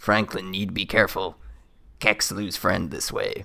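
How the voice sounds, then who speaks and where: A man in a put-on character voice, fairly low-pitched, at a moderate pace. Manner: broken third-person speech; terse, urgent.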